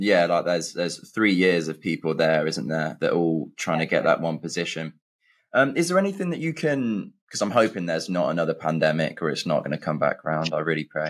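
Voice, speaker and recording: A man with a very deep, low pitch and an English accent, ordinary pitch variation, on a very clean recording with a silent background. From England. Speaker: podcast host. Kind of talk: interview.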